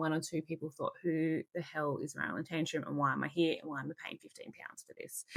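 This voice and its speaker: A woman with an Australian accent speaks at a fairly quick pace in a fairly low pitch. Her tone is animated, bright, and sharp. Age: 30s. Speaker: roller derby coach. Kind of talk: casual coaching talk.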